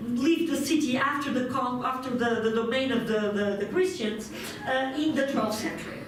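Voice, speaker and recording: A woman speaks at a moderate pace in a high voice, with noticeable background noise and audible room echo. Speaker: archaeologist. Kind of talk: conference talk. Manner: halting.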